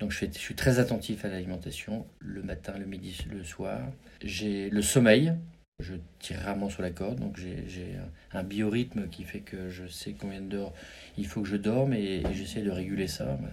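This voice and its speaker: Over audible room echo, a man speaks fairly slowly in a fairly low voice with vocal fry. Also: ordinary pitch variation. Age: 50s. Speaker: business executive. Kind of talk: interview. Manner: halting.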